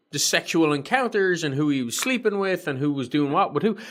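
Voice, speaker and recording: A man talks with a high pitch and lively intonation at a moderate pace. The recording is very clean, with a silent background. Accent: Irish. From Ireland. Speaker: podcast co-host, army veteran. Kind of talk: casual chat.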